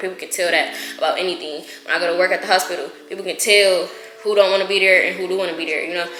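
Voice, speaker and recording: Against noticeable background noise and audible room echo, a woman talks very fast at a medium pitch. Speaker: YouTuber giving channel advice. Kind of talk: casual talking-head advice vlog. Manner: monotone.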